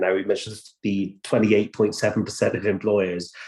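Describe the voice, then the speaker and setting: Speaking at a moderate pace with a West Country accent, a man uses a fairly low pitch and monotone, flat intonation. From Bristol, South West England. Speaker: apprenticeship training provider, panellist. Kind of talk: online panel discussion. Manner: hesitant, many fillers and repeats.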